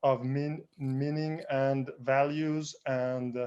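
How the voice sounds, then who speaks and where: A man talks in a fairly high voice with monotone, flat intonation. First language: not English (third language). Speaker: panelist. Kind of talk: panel discussion. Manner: halting, many hesitations.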